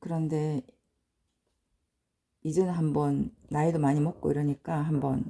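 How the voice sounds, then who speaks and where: A woman's very deep, low voice in a dark, mellow tone, fairly slow, with fairly even intonation. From provincial South Korea. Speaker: English teacher, cram school owner. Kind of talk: lecture.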